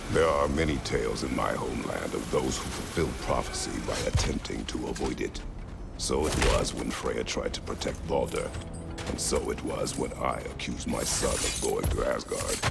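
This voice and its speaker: A man does a put-on character voice at a moderate pace over loud background noise. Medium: machinima. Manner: terse, grave.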